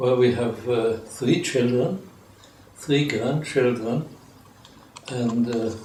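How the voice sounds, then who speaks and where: Amid noticeable background noise and audible room echo, a man with a medium pitch speaks at a very slow pace with fairly even intonation and long, frequent pauses. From Luxembourg. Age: 80s+. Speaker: retired journalist. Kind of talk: interview. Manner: hesitant.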